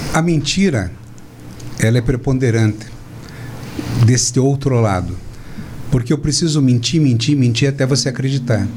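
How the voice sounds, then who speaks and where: Over noticeable background noise, a man speaks at a moderate pace with very even loudness and long, frequent pauses. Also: medium pitch for a man, ordinary pitch variation. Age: 60s. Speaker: physician and speaker. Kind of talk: political talk show discussion. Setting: studio, live stream.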